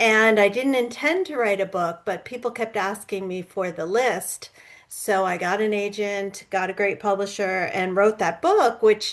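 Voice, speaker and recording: A woman's fairly high voice, an ordinary speaking voice, at a fairly slow pace with ordinary pitch variation. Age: 60s. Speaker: author and public speaker. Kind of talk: interview conversation.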